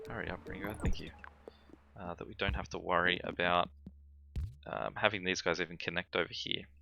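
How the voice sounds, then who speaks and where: With music in the background, a man with an Australian accent speaks at a fairly quick pace in a very deep, low pitch, using ordinary pitch variation, long, frequent pauses and big swings in loudness. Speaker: gaming YouTuber. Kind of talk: gameplay commentary. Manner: calm; hesitant, many fillers.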